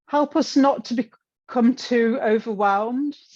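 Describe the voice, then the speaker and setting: A woman with an English accent speaks with ordinary pitch variation against a quiet background. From England. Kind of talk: presentation talk with slides. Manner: hesitant, many fillers and repeats.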